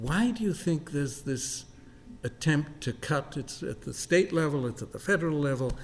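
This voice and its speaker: Somewhat breathy and fairly high-pitched, the man speaks at a moderate pace with ordinary pitch variation. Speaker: college president. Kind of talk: interview. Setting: on campus with live audience.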